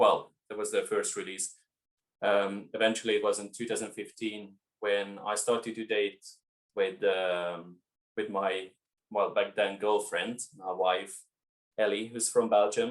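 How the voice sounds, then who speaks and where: In a Hungarian accent, a man talks at a fairly slow pace. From Hungary. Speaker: winemaker. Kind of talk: interview.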